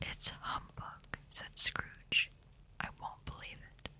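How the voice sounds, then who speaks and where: A whispering voice moves along at a very slow pace. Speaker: ASMR artist. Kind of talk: bedtime story reading. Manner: whispered.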